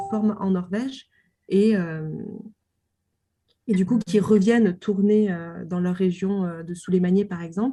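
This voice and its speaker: A woman speaks at a fairly slow pace with fairly even intonation. Her pitch sits in the medium range. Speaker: doctoral researcher on film. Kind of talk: interview. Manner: hesitant, many fillers.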